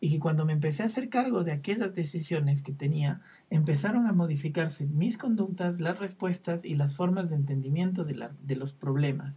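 Hardly pausing, a man talks in a dark, mellow tone at a fairly high pitch with ordinary pitch variation. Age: 20s. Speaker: psychologist. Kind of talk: casual chat.

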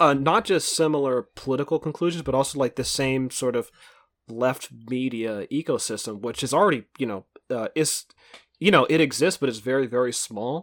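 A man speaks in an ordinary speaking voice at medium pitch, with ordinary pitch variation. His pace is moderate and the sound is dry and close with no echo. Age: 30s. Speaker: podcast host and independent journalist. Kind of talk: casual chat.

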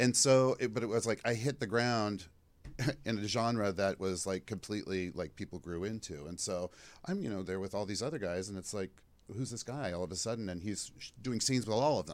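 In a very clean recording with a silent background, a man uses an ordinary speaking voice with ordinary pitch variation at a fairly quick pace. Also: fairly low pitch for a man. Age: 50s. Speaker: former adult film performer. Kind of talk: casual interview chat.

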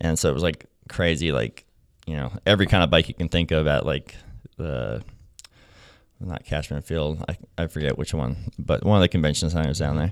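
A man talks at a fairly quick pace with vocal fry, ordinary pitch variation, and long, frequent pauses. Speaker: former pro BMX rider in recovery, now works to help kids with addiction. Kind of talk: casual interview chat, telling his life story. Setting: studio.

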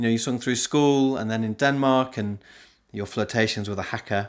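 A man with an unremarkable speaking voice talks at a moderate pace with ordinary pitch variation in a very clean recording with a silent background. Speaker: podcast host and singing leader. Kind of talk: podcast interview.

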